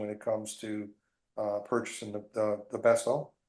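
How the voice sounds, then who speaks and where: A man's fairly quick speech with an American accent, a dark, mellow tone and medium pitch. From US South, New Orleans. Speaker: realtor. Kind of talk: interview chat.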